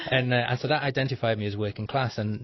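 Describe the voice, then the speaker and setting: This man talks at a very fast pace. His voice is somewhat breathy, with fairly even intonation. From Liverpool, England. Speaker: author. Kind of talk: interview. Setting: radio studio. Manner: halting.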